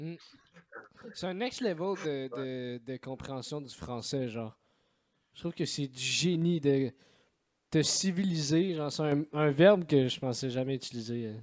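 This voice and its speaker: The pace is fairly slow, with long, frequent pauses and ordinary pitch variation. The speaker has a Quebec accent. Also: man, fairly high pitch for a man. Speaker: podcast host. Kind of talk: casual chat. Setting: remote call.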